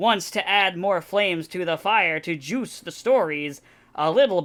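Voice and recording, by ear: With lively intonation, the clip is reading aloud in a natural voice.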